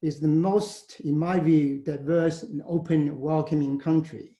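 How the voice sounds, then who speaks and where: With a Chinese accent, a man speaks at a fairly high pitch. His pace is fairly slow. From China, Shandong province. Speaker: university leader. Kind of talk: presentation. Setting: webinar.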